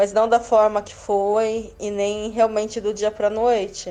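Fairly high-pitched and fairly slow, a woman speaks in a monotone, flat intonation with a dark, mellow tone. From Brazil. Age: 30s. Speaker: Brazilian expat living in India. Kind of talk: interview.

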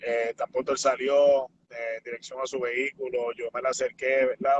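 The man's voice comes across with a dry, close sound and no echo. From Puerto Rico, south (Ponce). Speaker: professional wrestler. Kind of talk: interview.

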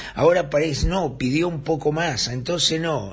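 A man's fairly high voice with ordinary pitch variation, moderate pace and audible room echo. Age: 60s. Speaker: radio host and journalist. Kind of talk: casual radio monologue. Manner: animated.

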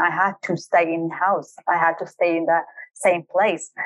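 At a moderate pace, a woman with a Kurdish accent speaks at medium pitch. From Kurdistan region of Iraq, Halabja. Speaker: high performance coach. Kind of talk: interview, personal life story.

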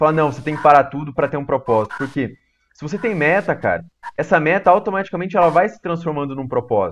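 A man speaks very fast in a fairly high voice, with lively intonation and big swings in loudness over a quiet background. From small-town Brazil. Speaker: podcast host. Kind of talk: podcast interview.

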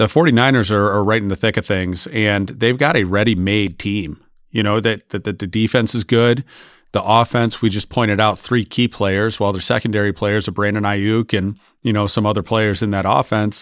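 An ordinary speaking voice: a man with an American accent, fairly low in pitch, at a moderate pace. His intonation is fairly even, and the recording is very clean with a silent background. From Michigan. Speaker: football podcast host. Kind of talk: casual chat.

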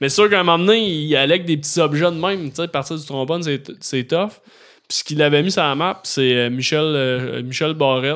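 A man talks at a fairly quick pace with ordinary pitch variation, an ordinary speaking voice. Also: fairly high pitch for a man. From Quebec, Beauharnois area. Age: 30s. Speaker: comedian and YouTube creator. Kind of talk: casual chat. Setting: studio.

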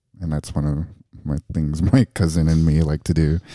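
Dry and close with no echo, the voice has a dark, mellow tone, fairly even intonation and a moderate pace. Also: man. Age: 30s. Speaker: drag performer. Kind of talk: casual chat.

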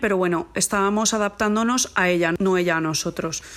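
A woman with a plain, everyday voice, medium pitch and ordinary pitch variation, at a fairly quick pace. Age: 40s. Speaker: mother recording a lockdown diary. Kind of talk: personal monologue.

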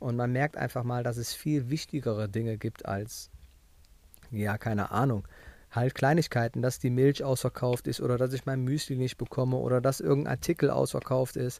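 In an unremarkable speaking voice, a man talks at a medium pitch and moderate pace with fairly even intonation, on a very clean recording with a silent background. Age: 30s. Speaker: podcast host, running coach. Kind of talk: solo podcast monologue. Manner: casual, conversational.

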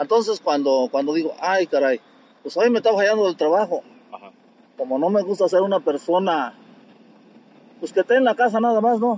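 Dry and close with no echo, a man with a high pitch speaks with lively intonation and long, frequent pauses. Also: fairly quick pace. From Querétaro, Mexico (from age 9; born in Guanajuato sierra). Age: 60s. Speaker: street vendor and bricklayer. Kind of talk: casual interview. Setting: outdoors at his street stall.

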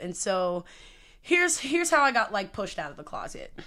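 A woman with an American accent talks at a fairly quick pace, her medium-pitched voice bright and sharp in tone, on a very clean recording with a silent background. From Prince George's County, Maryland. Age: 20s. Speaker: podcast co-host and theater teacher. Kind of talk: casual chat.

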